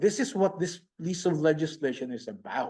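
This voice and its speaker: This man has a high pitch and a dark, mellow tone. He talks at a moderate pace with a Filipino accent. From Philippines. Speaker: pastor. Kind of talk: conference presentation. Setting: conference room with online audience. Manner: animated.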